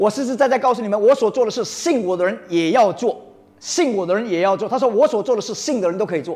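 At a very fast pace, a man speaks with a high pitch, lively intonation and an animated tone. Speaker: preacher. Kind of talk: sermon to a congregation. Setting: church. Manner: animated, rousing call-and-response; emphatic, mixes Mandarin with English phrases.

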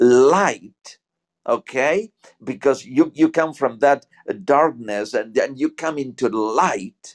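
Recorded with a dry, close sound and no echo, a man speaks very slowly in a fairly high pitch with lively intonation. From Argentina, Buenos Aires. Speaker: guest. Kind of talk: casual spiritual chat. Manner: halting.

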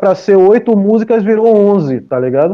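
With very wide pitch swings, a man speaks at a high pitch. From Brazil, Salvador, Bahia. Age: 40s. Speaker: music producer and DJ. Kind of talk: casual interview chat.

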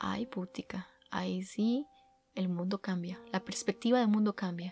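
The speaker talks at a fairly slow pace in a Costa Rican accent, keeping the intonation fairly even. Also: woman. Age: 20s. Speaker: podcast host. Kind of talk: casual monologue.

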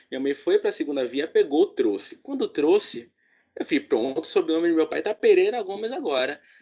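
A fairly quick-talking man, the background quiet. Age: 20s. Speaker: podcast host. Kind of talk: casual chat.

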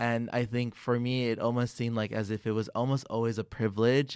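At a fairly quick pace, a man speaks in a medium pitch with monotone, flat intonation. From Los Angeles, US, Mexican immigrant family. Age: 20s. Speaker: environmental educator and content creator. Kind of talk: casual interview chat.

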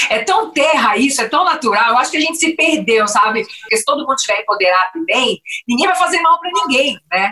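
Raising and projecting her voice, a woman speaks at a high pitch and a fairly quick pace. Her pitch swings very widely. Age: 50s. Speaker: podcast host, former restaurateur. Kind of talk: interview.

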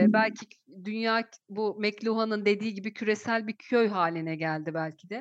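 A woman's fairly high voice at a moderate pace. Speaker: university lecturer and podcast host. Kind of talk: interview; show intro and outro.

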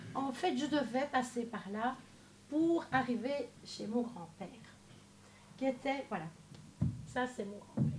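Lively intonation comes through at a very slow pace with long, frequent pauses. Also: woman, high pitch for a woman. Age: 60s. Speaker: church member giving testimony. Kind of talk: testimony.

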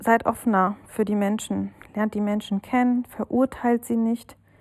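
In a dry, close sound with no echo, a woman speaks at a fairly high pitch with monotone, flat intonation. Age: 30s. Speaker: listener sending a voice message. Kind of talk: recorded voice message. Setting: self-recorded audio message.

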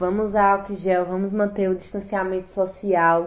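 A medium-pitched woman's voice at a moderate pace. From Garanhuns, Pernambuco, Brazil. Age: 20s. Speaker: city councillor and rapper. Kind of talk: interview.

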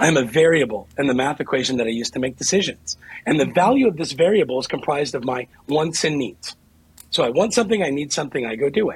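With an American accent, a man talks very fast with lively intonation, a somewhat breathy voice and a fairly high pitch. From Ohio, US Midwest. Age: 40s. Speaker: author. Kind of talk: interview.

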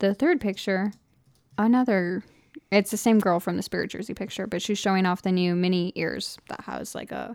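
Using fairly even intonation and a moderate pace, a woman speaks at a medium pitch in an unremarkable speaking voice. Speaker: podcast host. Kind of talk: casual chat.

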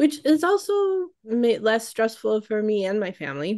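A woman talks at a fairly slow pace with a fairly high pitch, an unremarkable speaking voice. The background is quiet. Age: 40s. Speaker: children's book illustrator and podcast co-host. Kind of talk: casual chat.

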